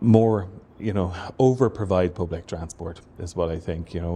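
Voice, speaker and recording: With a Waterford Irish accent, a man speaks in a very deep, low pitch, his tone dark and mellow, somewhat breathy, with fairly even intonation. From Ireland, Waterford. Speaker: transport professor. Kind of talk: interview. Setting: university building.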